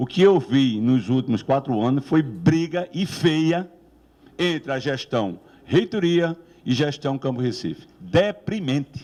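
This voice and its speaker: A man speaks very slowly in a dark, mellow tone with a fairly high pitch. His intonation is lively. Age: 60s. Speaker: professor running for rector. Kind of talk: election debate speech. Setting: campus debate with audience.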